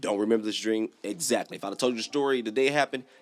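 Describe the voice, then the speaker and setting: A man speaks with music in the background. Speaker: YouTuber reacting to horror stories. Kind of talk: casual storytelling. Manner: fast; animated.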